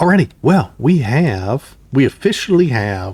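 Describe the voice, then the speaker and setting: A man speaks at a very slow pace, somewhat breathy. His pitch makes very wide swings. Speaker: gaming youtuber. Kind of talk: gameplay commentary. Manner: casual, thinking aloud.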